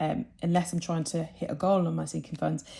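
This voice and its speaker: Somewhat breathy and fairly low in pitch, a woman with a British accent and a dark, mellow tone speaks at a fairly quick pace. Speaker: budgeting vlogger. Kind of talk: casual vlog talk.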